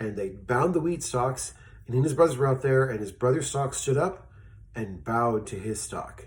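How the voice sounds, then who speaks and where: A man speaks with a somewhat breathy voice. His intonation is lively and his tone animated. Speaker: children's Bible storyteller. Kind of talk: children's Bible story. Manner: fast.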